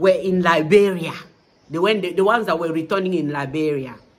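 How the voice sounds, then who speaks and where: The tone is animated. Noticeable background noise sits behind the voice. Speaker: vlogger. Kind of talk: casual vlog monologue.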